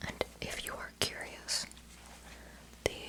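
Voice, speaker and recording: Very slow whispering from a woman, with noticeable background noise. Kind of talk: ASMR makeup tutorial rambling. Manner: whispered.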